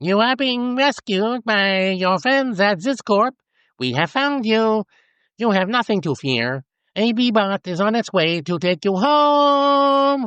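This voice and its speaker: At a fairly slow pace, a man puts on a high-pitched character voice, keeping his loudness very even. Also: lively intonation. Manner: eerily cheerful.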